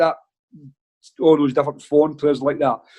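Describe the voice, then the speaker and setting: In a Glaswegian accent, a man speaks at a fairly high pitch with a dark, mellow tone. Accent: Glaswegian Scottish. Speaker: football manager. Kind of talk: casual chat, anecdotes on a podcast. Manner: animated storytelling.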